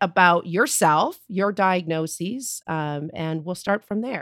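The pace here is fairly unhurried. An American accent comes through. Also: woman. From US Midwest. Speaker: podcast co-host and patient. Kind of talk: casual interview chat. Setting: remote call.

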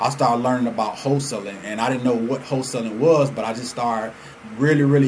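Medium-pitched man with an American accent and fairly even intonation, plus audible room echo and noticeable background noise. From Atlanta, Georgia (born Chicago). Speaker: entrepreneur and podcast host. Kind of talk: casual monologue.

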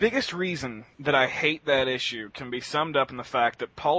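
This man has a normal speaking voice, with ordinary pitch variation and a moderate pace. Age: 20s. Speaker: webcomic writer, podcast panelist. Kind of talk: casual panel chat.

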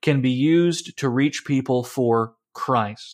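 This man has an unremarkable speaking voice with lively intonation. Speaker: pastor and podcast host. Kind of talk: casual discussion.

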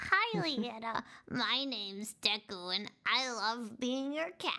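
In a put-on character voice, a female-sounding voice speaks at a fairly slow pace and a fairly high pitch. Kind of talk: baby-talk. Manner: cute, sweet.

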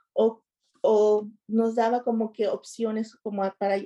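Monotone, flat intonation in a woman's dark, mellow tone. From Mexico, Nuevo Laredo, Tamaulipas. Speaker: parent. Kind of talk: interview. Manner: halting.

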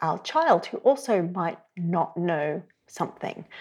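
A woman's dark, mellow voice in an Australian accent, at a very slow pace. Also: very clean recording, silent background. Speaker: sex educator and therapist. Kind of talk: interview conversation. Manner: reflective, uses many fillers.

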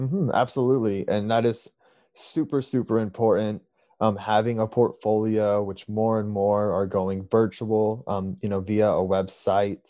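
A man's normal speaking voice, fairly low in pitch, with fairly even intonation at a moderate pace. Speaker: student podcast host. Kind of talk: interview.

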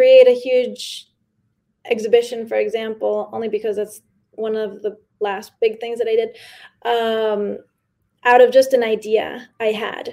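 With a New York accent, a woman speaks at a fairly high pitch in a dark, mellow tone and a monotone, flat intonation, recorded very cleanly against a silent background. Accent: New York American English. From New York City, with early childhood in Mexico. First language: Spanish. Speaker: artist and curator. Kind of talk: interview. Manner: laughs often.

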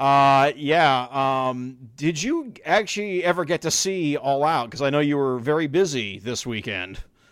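A man with an American accent and an unremarkable speaking voice talks at a fairly slow pace with hardly any pauses, his fairly high pitch carrying lively intonation. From Chicago, US. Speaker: wrestling podcast host. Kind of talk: casual chat. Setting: remote call.

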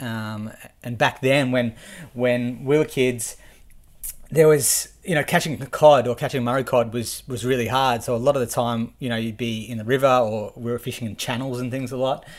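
Over a very clean, silent background, a man with an Australian accent and a medium pitch talks at a moderate pace with fairly even intonation. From Victoria, Australia (Shepparton). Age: 30s. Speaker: angler. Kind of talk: casual chat. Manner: halting.

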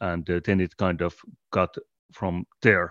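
In a Finnish accent, a man speaks at a fairly slow pace with a very deep, low pitch, recorded with a dry, close sound with no echo against a quiet background. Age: 40s. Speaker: podcast host and collective co-founder. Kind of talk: casual interview conversation.

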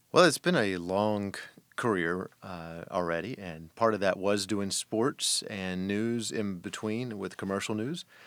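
This man has an unremarkable speaking voice, fairly low in pitch, captured on a very clean recording with a silent background. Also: ordinary pitch variation, fairly slow pace. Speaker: broadcast journalist. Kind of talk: interview.

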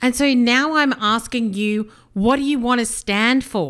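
A woman with an Australian accent speaks at a fairly slow pace and fairly high pitch. The recording is very clean, with a silent background. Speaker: business coach, podcast host. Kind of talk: solo podcast monologue.

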